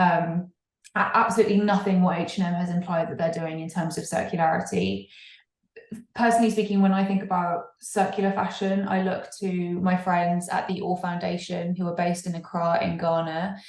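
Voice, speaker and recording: A woman speaks with an English accent at a moderate pace. Her fairly low voice has monotone, flat intonation. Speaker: fair fashion campaigner. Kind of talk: podcast interview. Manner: halting, frequent repetitions.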